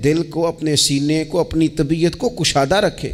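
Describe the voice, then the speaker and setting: The voice is a man's. Background noise comes through noticeably. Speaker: Islamic religious preacher. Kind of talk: religious sermon (bayan). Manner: emotional, preaching.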